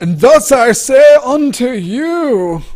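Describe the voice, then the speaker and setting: A man's put-on character voice at an extremely high pitch, with very wide pitch swings. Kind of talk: archaic Shakespearean.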